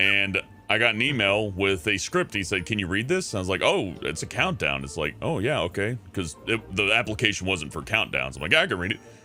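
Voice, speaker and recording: A fairly low-pitched male voice at a fairly quick pace, with lively intonation and hardly any pauses. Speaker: voice actor. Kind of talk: casual chat.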